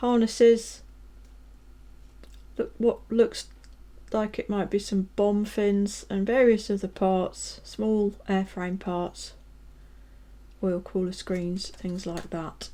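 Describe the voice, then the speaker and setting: A very slow, relaxed British accent with long, frequent pauses, on a very clean recording with a silent background. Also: woman. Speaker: scale model reviewer. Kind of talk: product review tutorial. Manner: relaxed, casual with fillers.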